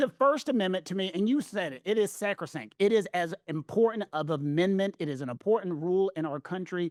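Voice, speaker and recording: A man with a Southern US accent speaks at a high pitch and a fairly quick pace, with lively intonation and hardly any pauses. The recording is very clean, with a silent background and a dry, close sound with no echo. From US South. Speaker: legal commentator. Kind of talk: casual chat.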